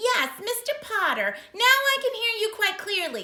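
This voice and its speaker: Using a put-on character voice, a woman squeaks at an extremely high pitch, keeping a moderate pace and very even loudness. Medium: read story.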